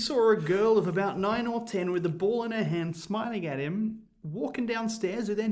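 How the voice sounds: The voice reads in a natural way. Its pitch moves an ordinary amount.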